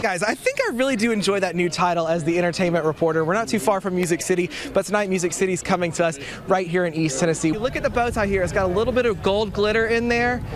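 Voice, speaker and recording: A man with an American accent talks at a very fast pace in a high pitch, keeping very even loudness. Noticeable background noise can be heard. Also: ordinary pitch variation. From South Carolina. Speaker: TV news reporter. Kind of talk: light entertainment news segment. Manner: upbeat, playful.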